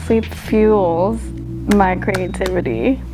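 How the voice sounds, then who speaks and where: A soft-spoken woman talks with music in the background. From Philippines. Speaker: singer-songwriter. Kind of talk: interview answer.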